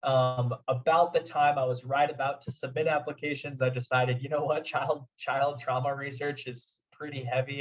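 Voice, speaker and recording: The voice has a Midwestern accent and is somewhat breathy. Its intonation stays monotone and flat. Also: man. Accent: General American (Midwest). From US Midwest, Omaha, Nebraska. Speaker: clinical psychologist / therapist. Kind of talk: lecture. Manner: halting, many fillers and repeats.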